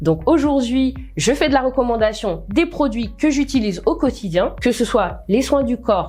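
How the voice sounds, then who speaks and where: A woman's high voice at a fairly slow pace, lively in intonation and very even in loudness, over noticeable background noise. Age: 30s. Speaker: network marketing distributor. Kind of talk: testimony.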